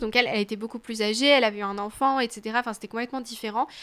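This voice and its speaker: In a very clean recording with a silent background, a woman with a bright, sharp tone and a fairly high pitch speaks at a very fast pace with fairly even intonation. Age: 20s. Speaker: student and awareness campaigner on abusive relationships. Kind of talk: testimony.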